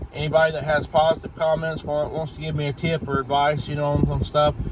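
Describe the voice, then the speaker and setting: Through noticeable background noise, a man speaks at a fairly high pitch in a monotone, flat intonation. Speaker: YouTuber. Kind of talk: casual vlog update. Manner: stuttering, halting; rambling.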